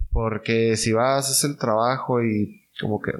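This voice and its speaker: A normal speaking voice from a man, medium in pitch, at a fairly slow pace with fairly even intonation. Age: 30s. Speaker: small business owner. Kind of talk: casual interview chat.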